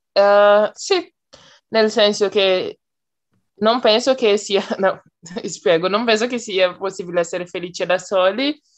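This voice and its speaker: A woman at a very slow pace, medium in pitch with ordinary pitch variation, and long, frequent pauses. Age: 20s. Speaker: psychology student, language learner. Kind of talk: casual group conversation practice. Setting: video call.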